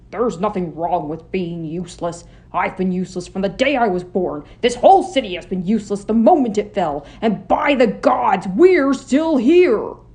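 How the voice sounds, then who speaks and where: A loud, put-on character voice, fairly high in pitch, at a moderate pace with hardly any pauses. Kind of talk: read story. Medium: audio drama. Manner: loud, irritable.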